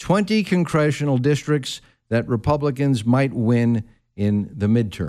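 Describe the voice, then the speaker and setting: On a very clean recording with a silent background, a man with a plain, everyday voice speaks at a fairly slow pace and medium pitch. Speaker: guest radio host. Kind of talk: talk radio discussion. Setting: radio studio.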